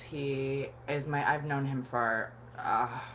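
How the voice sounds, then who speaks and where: A woman's very deep, low voice with audible room echo. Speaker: vlogger. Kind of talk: casual webcam vlog monologue.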